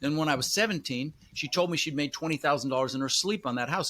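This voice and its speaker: Delivered at a very fast pace, this voice carries lively intonation. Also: man. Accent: American. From Colorado, US (Denver), after early childhood in the Netherlands. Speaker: real estate investor. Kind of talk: podcast interview. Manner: casual, filler-heavy.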